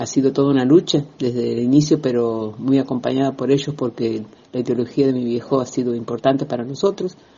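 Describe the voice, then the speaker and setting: The man's voice sits at a medium pitch, with ordinary pitch variation. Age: 60s. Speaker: feminist activist. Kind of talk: recorded testimony. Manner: hesitant, many fillers.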